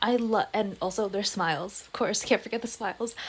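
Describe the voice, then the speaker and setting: The speaker has an American accent and an animated tone. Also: woman. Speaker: YouTuber and TikTok creator. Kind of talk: casual commentary video.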